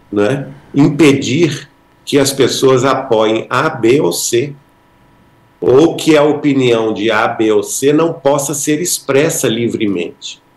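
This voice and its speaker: In a room with audible echo, a man speaks at a very slow pace with ordinary pitch variation. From Brazil. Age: 60s. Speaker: spiritist author, podcast guest; podcast guest. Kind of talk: podcast interview. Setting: live-streamed podcast studio. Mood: earnest, reflective. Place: home room. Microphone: video call.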